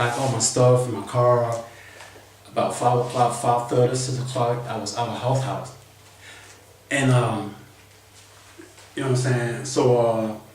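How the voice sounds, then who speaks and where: A man's medium-pitched, monotone voice at a moderate pace, with long, frequent pauses, audible room echo and noticeable background noise. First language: not English. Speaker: vlogger. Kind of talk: casual storytelling monologue. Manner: halting, repetitive.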